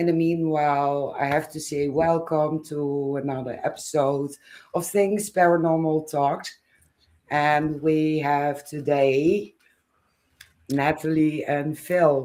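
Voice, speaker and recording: With a Dutch accent, a woman speaks at a very slow pace in a very deep, low pitch, her tone dark and mellow and her intonation monotone and flat. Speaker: podcast host. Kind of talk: casual chat.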